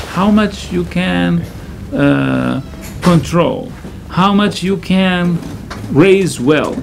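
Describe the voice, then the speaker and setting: With a Syrian accent, a man talks at a very slow pace with long, frequent pauses while faint music plays in the background. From Syria, Damascus. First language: Arabic. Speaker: imam. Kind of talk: interview. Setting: studio. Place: studio.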